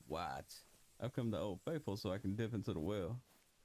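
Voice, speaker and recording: With an American accent, a man talks in a relaxed tone marked by vocal fry. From Texas. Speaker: gaming YouTuber. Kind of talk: casual gameplay commentary. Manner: relaxed, casual.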